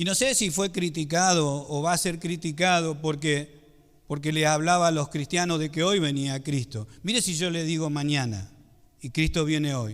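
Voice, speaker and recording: On a very clean recording with a silent background, a man speaks in a normal speaking voice at a moderate pace with ordinary pitch variation. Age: 50s. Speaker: pastor. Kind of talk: sermon.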